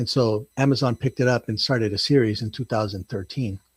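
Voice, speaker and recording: A somewhat breathy man speaks at a fairly quick pace with fairly even intonation, in a dry, close sound with no echo. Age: 60s. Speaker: first-time novelist. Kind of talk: interview. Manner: halting, many fillers.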